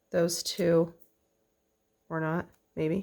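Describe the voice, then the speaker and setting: In a very clean recording with a silent background, the words come out at a very slow pace. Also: woman. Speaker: quilting pattern designer. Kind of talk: tutorial. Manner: casual, chatty.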